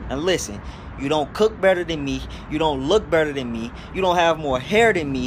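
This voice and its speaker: There is noticeable background noise behind this man. His pitch is fairly high and his pace fairly quick. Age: young. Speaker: boxer. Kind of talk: trash talk promo. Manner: animated.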